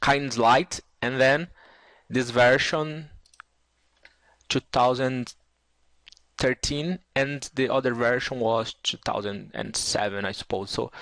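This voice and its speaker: With long, frequent pauses, a man in a Brazilian Portuguese accent speaks at a medium pitch with ordinary pitch variation, the sound dry and close with no echo. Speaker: 3D software tutor. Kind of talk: tutorial. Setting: screen recording. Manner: halting, many fillers.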